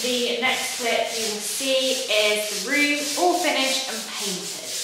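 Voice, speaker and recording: Strong room echo and noticeable background noise fill the recording. A woman talks at a fairly slow pace with ordinary pitch variation. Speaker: home renovation vlogger. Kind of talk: casual vlog chat. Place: home room. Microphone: phone near.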